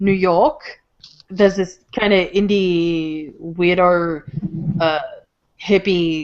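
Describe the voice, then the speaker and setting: Long pauses break up the speech often. The pace is very slow. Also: woman, fairly low pitch for a woman, ordinary pitch variation. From Australia, Melbourne. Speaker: podcast guest. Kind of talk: casual chat. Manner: animated.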